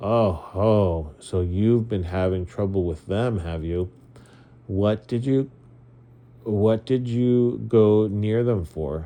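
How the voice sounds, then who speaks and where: Putting on a gruff character voice, a man speaks fairly low and at a very slow pace. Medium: read story. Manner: gruff, blunt.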